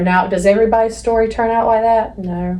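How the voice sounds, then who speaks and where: Noticeable background noise and audible room echo surround the speech. The pitch varies in an ordinary way. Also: woman. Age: 40s. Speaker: podcast co-host. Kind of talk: casual chat. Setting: office studio.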